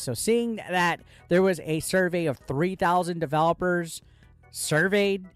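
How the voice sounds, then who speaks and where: With music in the background, a man talks in an animated, excited tone at a high pitch. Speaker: gaming YouTuber. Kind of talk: casual video commentary.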